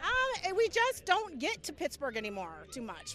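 Her pitch swings very widely as this woman speaks. Noticeable background noise runs underneath. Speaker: Steelers fan. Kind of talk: casual chat. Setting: outdoors at a stadium tailgate.

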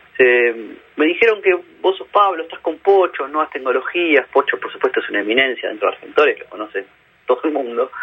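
Big swings in loudness mark this man's speech. He talks at a fairly quick pace. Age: 40s. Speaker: digital marketing expert and journalist. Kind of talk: radio interview. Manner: halting, frequent repetitions and fillers.

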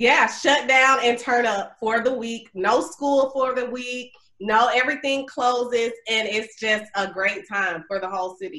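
A woman with an Alabama accent speaks at a fairly slow pace with hardly any pauses. Her voice has a bright, sharp tone, a high pitch and ordinary pitch variation. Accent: Southern US (Alabama). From US South, Mobile, Alabama. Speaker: actress and accountant. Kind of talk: casual interview.

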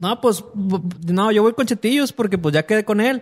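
The tone is animated. The intonation is lively. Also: man. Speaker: podcast host. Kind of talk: casual chat.

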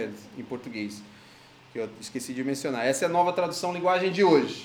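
A man talks very fast in a high voice, with noticeable background noise and audible echo from the room. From Brazil. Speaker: pastor. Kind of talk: sermon.

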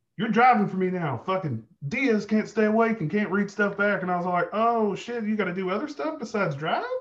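A man with a Southern US accent speaks at a fairly quick pace with hardly any pauses. His pitch is high, with ordinary variation. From Arkansas. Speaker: army veteran, oil and gas manager. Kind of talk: casual chat.

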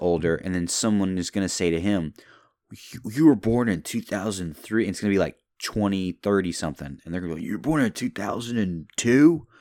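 A man with a fairly low pitch and an unremarkable speaking voice talks at a moderate pace. His intonation is lively, and the recording is very clean with a silent background. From US South, Louisville, Kentucky. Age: 20s. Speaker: podcast host. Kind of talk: casual solo monologue. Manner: rambling, laid-back.

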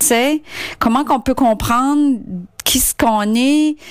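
At a very slow pace, a woman speaks in a high voice. Her pitch varies in an ordinary way. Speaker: listener. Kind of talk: recorded voice message. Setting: recorded clip sent in.

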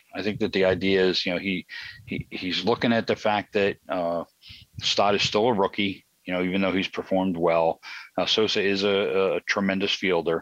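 A man with a Philadelphia accent, fairly low in pitch, at a moderate pace with monotone, flat intonation, over a quiet background with a dry, close sound and no echo. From South Philadelphia, US. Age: 60s. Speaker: baseball commentator. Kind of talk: casual chat. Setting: outdoors on a deck.

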